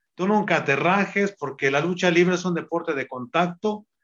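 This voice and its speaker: A man talks at a moderate pace with a high pitch. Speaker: retired wrestler. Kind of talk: interview.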